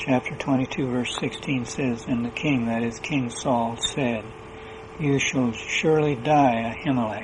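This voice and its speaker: Noticeable background noise sits under speech delivered at a fairly slow pace with fairly even intonation. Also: man, medium pitch for a man. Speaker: lay minister; preacher. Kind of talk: sermon.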